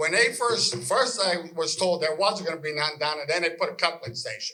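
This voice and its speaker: With a raised, projected voice and a bright, sharp tone, a man speaks at a moderate pace with lively intonation amid audible room echo. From western Pennsylvania. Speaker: local resident. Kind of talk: public meeting comment. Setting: public meeting hall. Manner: animated.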